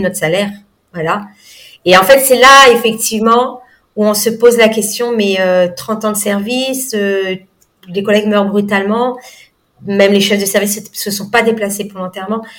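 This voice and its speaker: A woman with a fairly high pitch talks at a moderate pace with fairly even intonation, and audible room echo surrounds her voice. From mainland France, then Réunion from 18. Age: 40s. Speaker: nutrition coach. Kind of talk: casual interview chat. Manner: hesitant, many fillers.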